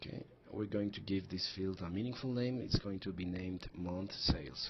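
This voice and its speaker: At a moderate pace, a man with a non-native accent speaks in a very deep, low pitch with ordinary pitch variation. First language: not English. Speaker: software tutorial presenter. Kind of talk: tutorial. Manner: hesitant, frequent fillers and restarts.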